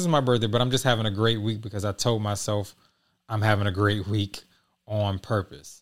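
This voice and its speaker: In a very clean recording with a silent background, a man with an ordinary speaking voice talks at a fairly low pitch with fairly even intonation. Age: 40s. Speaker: podcast host. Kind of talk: casual monologue.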